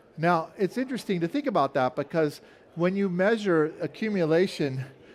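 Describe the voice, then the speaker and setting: The man talks at a fairly quick pace. His pitch varies in an ordinary way. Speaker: scientist presenting research. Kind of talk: conference talk with slides. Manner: fast; hesitant, with fillers.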